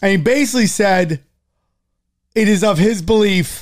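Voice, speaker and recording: In a very clean recording with a silent background, a man speaks with ordinary pitch variation. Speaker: podcast host. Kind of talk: casual chat. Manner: loud.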